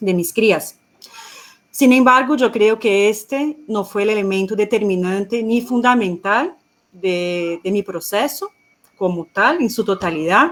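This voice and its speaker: With a Portuguese accent, a woman speaks at a fairly slow pace, her fairly high pitch showing ordinary variation. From Brazil. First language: Portuguese (speaking Spanish). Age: 30s. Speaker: economist and feminist activist. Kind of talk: panel talk.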